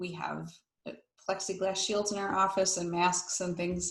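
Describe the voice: Audible room echo surrounds a woman speaking at a moderate pace in a fairly low voice.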